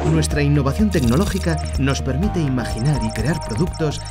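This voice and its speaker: A man talks at a middling speed. Music plays loudly behind him. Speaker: voice actor. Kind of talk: corporate commercial read. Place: studio.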